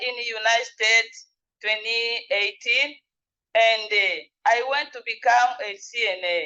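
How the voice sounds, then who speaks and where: The voice has a bright, sharp tone and moves at a very slow pace. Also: woman. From Democratic Republic of Congo. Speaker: nurse aide, former refugee. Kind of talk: legislative testimony. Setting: legislative committee hearing. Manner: halting.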